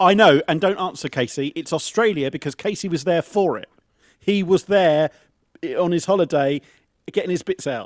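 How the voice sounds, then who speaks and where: A man with an English accent speaks in a high pitch at a moderate pace. His pitch variation is ordinary, and the sound is dry and close with no echo. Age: 40s. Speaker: podcast co-host, quiz contestant. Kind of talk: casual chat. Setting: video call.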